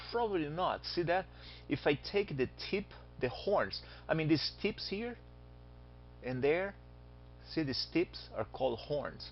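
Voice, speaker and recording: Talking at a fairly slow pace, a man with a Brazilian accent leaves long, frequent pauses. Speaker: astronomy teacher. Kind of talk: lecture.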